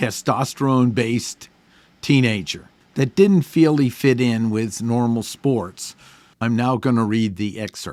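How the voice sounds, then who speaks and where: Very clean recording, silent background, and a man with an ordinary speaking voice, ordinary pitch variation and a fairly slow pace. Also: medium pitch for a man. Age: 60s. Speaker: podcast host and author. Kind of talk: casual monologue; reading aloud.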